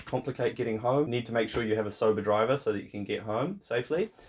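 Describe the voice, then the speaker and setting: Speaking very fast, a man talks with a New Zealand accent and fairly even intonation. The background is quiet. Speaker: vlogger. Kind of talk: casual vlog talk.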